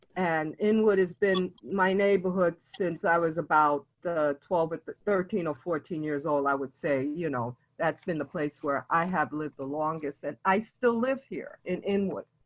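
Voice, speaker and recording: In a New York accent, a woman talks with hardly any pauses and ordinary pitch variation, the sound dry and close with no echo. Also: fairly low pitch for a woman, moderate pace. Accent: New York City. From New York City (East Harlem, South Bronx). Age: 70s. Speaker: elder storyteller. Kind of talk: oral history storytelling. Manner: halting with frequent fillers.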